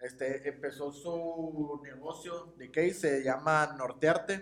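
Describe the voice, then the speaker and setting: This man's pitch sits fairly high. His intonation stays fairly even. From Mexicali, Baja California, Mexico. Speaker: podcast co-host. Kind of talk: casual chat.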